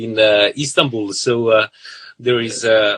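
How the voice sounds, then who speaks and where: A man speaks with a Serbian accent at a medium pitch. His tone is bright and sharp, and the sound is dry and close with no echo. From southern Serbia. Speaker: violinist. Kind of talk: interview. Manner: halting, many fillers.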